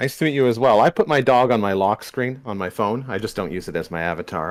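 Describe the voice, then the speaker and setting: Talking at a very fast pace with hardly any pauses, a man has a North American accent and lively intonation. The recording is very clean, with a silent background. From Canada, Southern Ontario. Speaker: podcast guest. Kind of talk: casual debate discussion.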